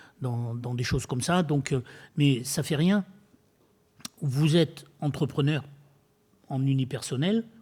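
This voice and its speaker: Here a man speaks with lively intonation and a dark, mellow tone. His voice is somewhat breathy. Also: very clean recording, silent background. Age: 70s. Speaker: retired builder and eco-entrepreneur speaking at a public dialogue. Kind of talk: public talk to an audience. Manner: hesitant, many fillers and repetitions.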